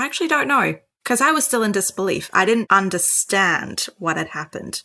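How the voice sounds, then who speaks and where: Lively intonation, vocal fry and a bright, sharp tone come through at a fairly quick pace on a very clean recording with a silent background. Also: woman. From Sri Lanka. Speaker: doctor. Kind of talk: interview storytelling. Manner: animated.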